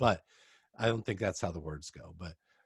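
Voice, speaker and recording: A somewhat breathy man with an American accent and lively intonation on a very clean recording with a silent background. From US West Coast (Oregon). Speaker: podcast host. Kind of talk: casual interview.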